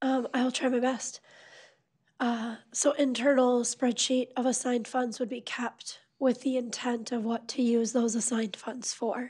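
With an American accent, a woman talks at a fairly slow pace in a high pitch and monotone, flat intonation against a quiet background. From US Midwest. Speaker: city finance officer. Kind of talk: council meeting discussion. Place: meeting room.

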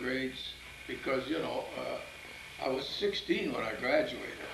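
Amid noticeable background noise, a man with an American accent talks at a fairly slow pace. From US Midwest. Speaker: grandfather telling life story. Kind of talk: interview answer. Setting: home video interview. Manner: slow, halting, with repeated words and fillers. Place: home room. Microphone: old recording.

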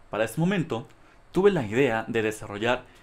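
Speaking with a Mexican accent, a man talks at a moderate pace with lively intonation. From Mexico. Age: 20s. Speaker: graduate student researcher. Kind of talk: conference presentation.

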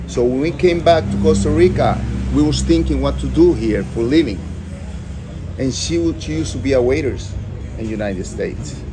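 A man talks at a fairly quick pace, broken by long, frequent pauses. Noticeable background noise runs under his speech. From Costa Rica. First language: Spanish. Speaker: restaurant owner. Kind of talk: interview. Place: cafe. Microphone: phone near.

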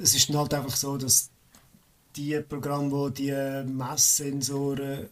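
With a Swiss accent, a man talks at a very slow pace. His pitch is medium. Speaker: hobby game programmer. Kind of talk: casual chat.

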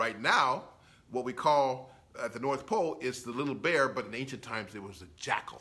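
In a bright, sharp tone, a man talks at a moderate pace and medium pitch.

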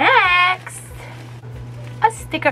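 Over music in the background, a woman projects a raised voice in an upbeat, excited tone. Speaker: YouTuber. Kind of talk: casual talk to camera. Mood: excited, delighted. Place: home room. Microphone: phone near.

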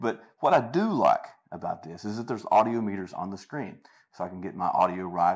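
Against a quiet background, a man with a very deep, low pitch talks at a very fast pace. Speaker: tech reviewer. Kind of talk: tutorial. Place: home room. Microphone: lapel.

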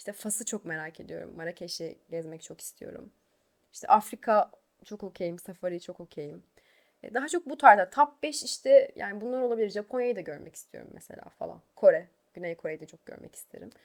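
This woman talks fairly quickly at a medium pitch, with very wide pitch swings and big swings in loudness. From Turkey, Eskişehir. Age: 20s. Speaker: YouTuber and singer. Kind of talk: casual Q&A vlog.

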